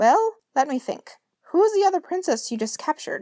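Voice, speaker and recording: A woman's put-on character voice at an extremely high pitch, fairly quick, with very wide pitch swings. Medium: read story. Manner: grandly theatrical, old-fashioned heroic speech.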